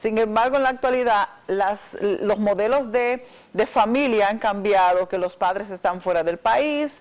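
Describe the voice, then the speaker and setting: The speaker is a woman who talks fairly slowly. Her intonation rises and falls in a normal way. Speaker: guest. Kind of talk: interview answer. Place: studio. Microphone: lapel.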